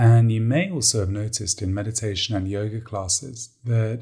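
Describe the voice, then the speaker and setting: The man's voice is somewhat breathy, with a dark, mellow, calm and soothing tone. His intonation is fairly even, and the recording is very clean with a silent background. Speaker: meditation coach. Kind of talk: guided meditation. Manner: calm, slow, soothing.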